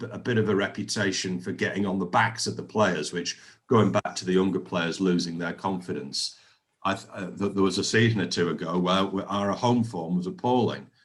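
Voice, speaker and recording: The pitch moves in an ordinary way. The pace is fairly quick. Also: man, very deep, low pitch for a man. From northern England, Oldham. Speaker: football fan interviewee. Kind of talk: interview. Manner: halting, repeats words.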